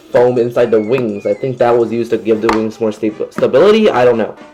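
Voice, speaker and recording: This man speaks at a medium pitch with fairly even intonation. Noticeable background noise runs underneath. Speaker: toy reviewer. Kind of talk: product review. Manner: halting, many fillers.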